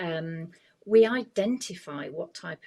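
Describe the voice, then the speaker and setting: A woman with a normal speaking voice, fairly low in pitch with ordinary pitch variation, talks at a fairly slow pace. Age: 60s. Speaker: image consultant. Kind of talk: podcast interview.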